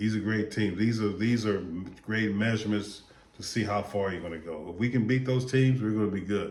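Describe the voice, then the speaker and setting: A man's fairly low voice at a fairly quick pace, with audible room echo. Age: 60s. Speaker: sports vlogger. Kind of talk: casual commentary monologue. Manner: repetitive, stammering restarts; animated.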